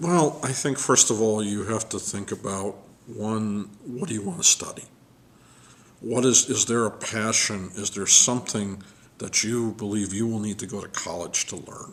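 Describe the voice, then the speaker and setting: A man speaks at a moderate pace with a fairly low pitch and ordinary pitch variation. His loudness swings widely. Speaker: college search consultant. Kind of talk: interview. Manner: calm, quietly confident.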